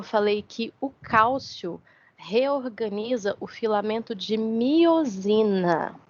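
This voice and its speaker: Her intonation is lively. This woman's voice is pitched fairly high. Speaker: university lecturer. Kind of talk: lecture.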